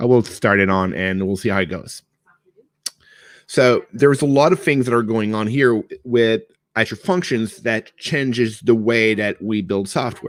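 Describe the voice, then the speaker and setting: A man speaks with a French Canadian accent at a medium pitch. He goes at a fairly slow pace. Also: ordinary pitch variation. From Quebec / French Canada. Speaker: cloud developer advocate. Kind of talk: technical presentation. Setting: online meetup. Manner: casual, conversational.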